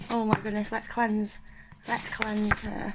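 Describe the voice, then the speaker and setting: This woman speaks with an English accent at a moderate pace and a fairly high pitch. Noticeable background noise runs under her voice. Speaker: spiritual video creator. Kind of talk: casual unboxing chat. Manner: whispering.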